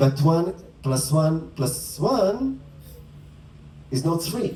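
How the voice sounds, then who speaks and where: A man with a non-native accent talks at a very slow pace in a fairly high voice with lively intonation. Noticeable background noise runs underneath. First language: not English. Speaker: spiritual teacher. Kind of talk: dharma talk. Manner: conversational.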